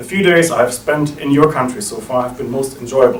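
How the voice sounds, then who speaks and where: Over noticeable background noise and audible room echo, a man with a German accent talks at a fairly quick pace, his fairly high pitch carried by lively intonation. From Germany. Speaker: think tank director. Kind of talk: welcome speech. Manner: formal.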